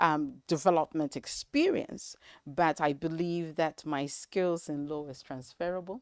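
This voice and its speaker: In a very clean recording with a silent background and a dry, close sound with no echo, a woman speaks at a very deep, low pitch with fairly even intonation and big swings in loudness. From Nigeria and the South Pacific, ending in New Zealand. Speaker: development project manager, trained in law. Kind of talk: interview. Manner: hesitant, many fillers.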